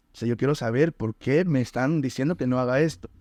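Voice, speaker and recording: A man's unremarkable speaking voice, medium-pitched, at a moderate pace with ordinary pitch variation, dry and close with no echo over a quiet background. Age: 20s. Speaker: podcast host, life coach. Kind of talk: interview.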